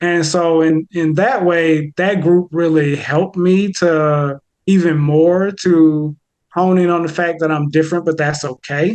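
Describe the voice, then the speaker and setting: A man speaks with a Southern US accent at a fairly slow pace. His intonation is fairly even, and the sound is dry and close with no echo. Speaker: therapist. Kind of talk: casual chat. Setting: podcast interview. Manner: halting.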